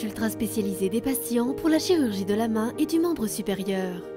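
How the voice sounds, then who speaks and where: A woman speaks fairly quickly while music plays behind her. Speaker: voice actor. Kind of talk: corporate and documentary narration.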